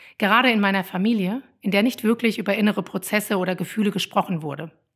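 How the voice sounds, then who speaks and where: A woman's medium-pitched voice at a very fast pace, with ordinary pitch variation, in a very clean recording with a silent background. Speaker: parenting coach and podcaster. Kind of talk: personal monologue.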